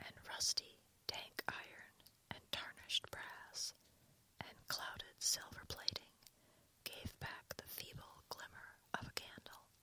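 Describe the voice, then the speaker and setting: Whispering at a very slow pace, a woman leaves long, frequent pauses. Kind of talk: literary narration, slow whispered story reading. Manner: whispered, soft, calming.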